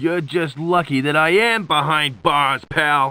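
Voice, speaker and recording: A man's put-on character voice, fairly high-pitched, with ordinary pitch variation and a fairly slow pace. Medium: video game. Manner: wisecracking.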